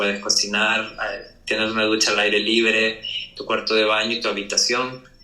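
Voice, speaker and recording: A man with a Salvadoran accent, medium pitch, monotone, flat intonation and moderate pace, amid audible room echo and noticeable background noise. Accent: Salvadoran, sometimes mistaken for Mexican. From El Salvador. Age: young. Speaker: architect and cabin rental owner. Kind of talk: casual podcast interview.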